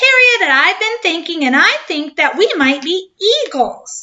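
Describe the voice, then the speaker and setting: Using a put-on character voice, a woman squeaks out her words at an extremely high pitch and a moderate pace. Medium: read story.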